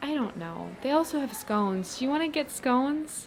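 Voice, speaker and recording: Through noticeable background noise, a woman with a warm tone speaks at a moderate pace. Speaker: friend character in a platonic ASMR roleplay. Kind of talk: friendly roleplay pep talk to a listener. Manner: casual, rambling, warm, encouraging.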